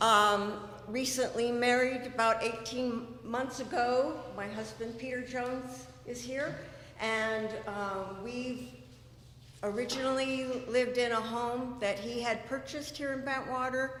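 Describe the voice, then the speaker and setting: With an American accent, a woman speaks at a high pitch and a fairly slow pace with fairly even intonation, amid noticeable background noise and audible room echo. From California. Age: 60s. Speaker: election candidate. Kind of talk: candidate speech at town hall. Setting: community meeting.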